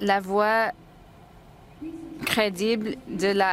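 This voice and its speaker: A woman with an English accent speaks at a medium pitch with fairly even intonation. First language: English (speaking French). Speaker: nursing association president. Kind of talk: formal report. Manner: halting.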